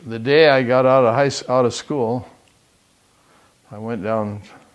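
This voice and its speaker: A man speaks with a Western Canadian accent. His intonation stays fairly even. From Southern Alberta, Canada. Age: 80s+. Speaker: retired business owner. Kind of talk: oral history interview.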